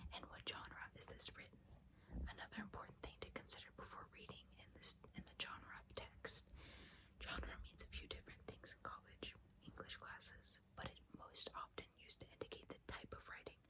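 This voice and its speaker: A woman whispering at a moderate pace, with long, frequent pauses. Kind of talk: ASMR essay reading. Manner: whispered, soft-spoken.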